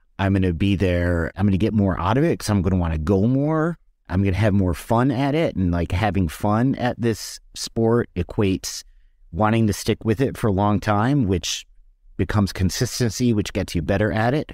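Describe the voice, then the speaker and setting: In an ordinary speaking voice, a man talks at a moderate pace with fairly low pitch, lively intonation and very even loudness. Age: 50s. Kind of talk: casual interview chat.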